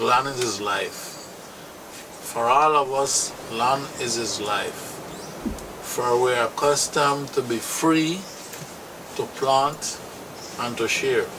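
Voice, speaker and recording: A man with a Limón Creole accent speaks at a very slow pace in a fairly high pitch, with ordinary pitch variation and long, frequent pauses. The room echo is audible and background noise is noticeable. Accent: Afro-Caribbean Limón Creole English. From Costa Rica, Caribbean coast (Talamanca). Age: 60s. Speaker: local landowner. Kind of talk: interview testimony. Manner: halting.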